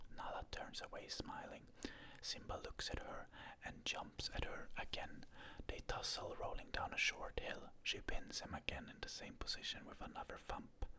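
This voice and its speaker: Whispered speech from a man, moderate in pace. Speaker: ASMR content creator. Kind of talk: ASMR script reading of a movie. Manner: whispered, soft-spoken.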